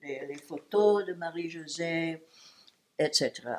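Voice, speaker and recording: A woman with an English accent, fairly low in pitch, at a very slow pace. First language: English (speaking French). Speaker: great-aunt interviewed for school project. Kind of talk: personal life story. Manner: halting.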